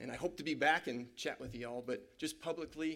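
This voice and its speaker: This is a man speaking at a fairly high pitch. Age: 40s. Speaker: pastor. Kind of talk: sermon.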